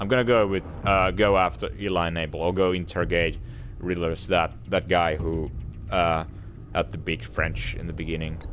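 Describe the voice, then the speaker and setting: A man with a non-native accent, very deep and low in pitch, ordinary pitch variation, moderate pace. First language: not English. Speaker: let's play streamer. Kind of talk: casual gameplay commentary. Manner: stutter; halting with many fillers.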